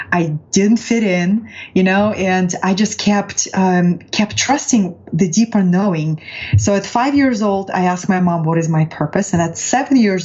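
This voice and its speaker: With a Russian accent, the speaker holds a very even loudness and ordinary pitch variation at a moderate pace over noticeable background noise. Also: woman. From Russia, Far East (Vladivostok). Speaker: transformational coach. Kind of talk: interview.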